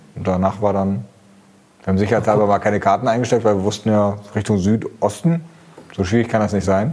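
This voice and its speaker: Speaking at a very fast pace, a man with a fairly low voice uses ordinary pitch variation and leaves long, frequent pauses. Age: 40s. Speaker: car journalist. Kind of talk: casual chat.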